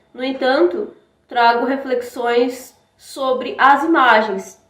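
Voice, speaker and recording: This woman has a Brazilian accent. Her voice is high-pitched. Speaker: academic presenter. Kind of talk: conference presentation.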